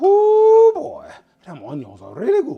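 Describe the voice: This is a put-on character voice pitched extremely high. It moves at a fairly slow pace.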